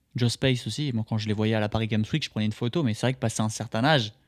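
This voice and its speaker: The recording is very clean, with a silent background and a dry, close sound with no echo. A man speaks fairly quickly at a medium pitch, his intonation fairly even. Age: 20s. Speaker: streamer. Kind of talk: reaction commentary. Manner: hesitant, repeats words; casual.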